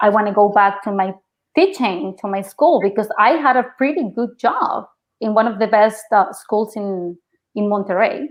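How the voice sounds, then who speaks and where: A woman with a Mexican accent and a fairly high pitch talks at a moderate pace. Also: ordinary pitch variation. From Mexico. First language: Spanish. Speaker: actress. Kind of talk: interview. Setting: podcast.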